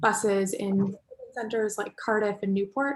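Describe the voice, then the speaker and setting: Speaking with an American accent, a woman uses an unremarkable speaking voice at medium pitch with ordinary pitch variation. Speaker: transport technology company representative. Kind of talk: panel discussion contribution.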